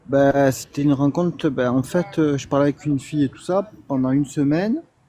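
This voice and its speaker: Speaking at a fairly quick pace with a slight Marseille accent, a man with a fairly high pitch makes big swings in loudness. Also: ordinary pitch variation. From Marseille, southern France. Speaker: delivery driver, live-stream guest. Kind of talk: casual chat.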